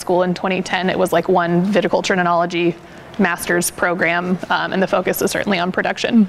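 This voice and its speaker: Noticeable background noise sits behind the recording. A woman speaks at a fairly quick pace. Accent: American. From Portland suburb, Oregon. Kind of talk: casual interview.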